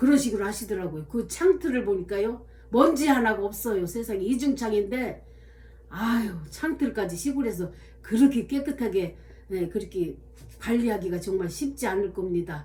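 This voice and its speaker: The intonation is lively. The pace is moderate. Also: woman. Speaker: diary-reading vlogger. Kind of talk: reading aloud own diary with spoken asides. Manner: hesitant, many fillers.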